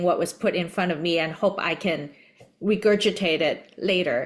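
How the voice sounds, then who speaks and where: A woman speaks with a Cantonese accent. She keeps a moderate pace. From Hong Kong. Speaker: podcast host. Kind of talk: interview conversation.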